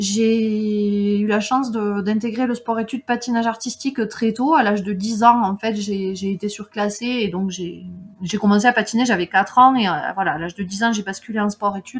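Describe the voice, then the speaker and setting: A woman speaks at a moderate pace in a fairly high, somewhat breathy voice, with fairly even intonation and hardly any pauses. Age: 30s. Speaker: mountaineer and trail runner. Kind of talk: casual chat.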